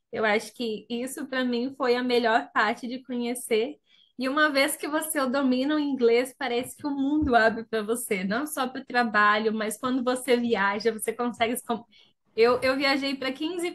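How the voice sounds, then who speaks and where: A woman's high voice, fairly even in intonation, at a moderate pace. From Brazil, interior of Paraná. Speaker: college student and business analyst. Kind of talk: webinar testimony.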